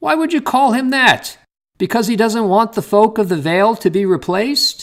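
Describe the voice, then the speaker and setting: A man's put-on character voice, high-pitched, with lively intonation at a moderate pace. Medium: read story.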